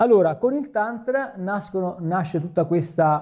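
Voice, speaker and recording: A man is speaking. His pace is moderate. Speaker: yoga teacher. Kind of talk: lecture. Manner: halting.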